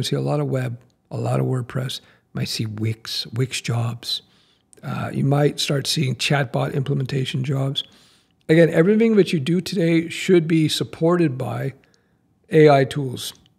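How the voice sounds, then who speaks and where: Somewhat breathy speech comes at a moderate pace with ordinary pitch variation. The background is quiet. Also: man. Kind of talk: casual vlog chat. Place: home room. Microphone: studio mic.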